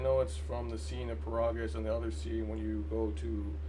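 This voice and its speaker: A man with a very deep, low voice talks at a fairly quick pace over noticeable background noise. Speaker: gaming video creator. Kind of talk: casual commentary. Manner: halting, stammering; mumbling.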